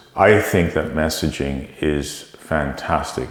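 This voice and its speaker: Amid noticeable background noise and audible room echo, a man with a very deep, low pitch speaks with a Canadian accent and fairly even intonation. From Canada. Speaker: tech company CEO. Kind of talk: interview.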